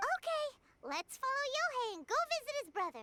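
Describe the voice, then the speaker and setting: In a put-on character voice, the speaker squeaks at an extremely high pitch, talking at a fairly quick pace with very wide pitch swings. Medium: video game. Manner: casual, lively.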